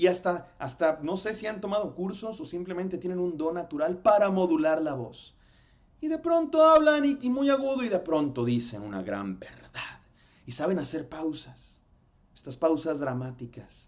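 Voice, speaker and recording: A man at a high pitch with very wide pitch swings and a moderate pace. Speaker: pastor. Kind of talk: sermon-style lecture. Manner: stumbles over words.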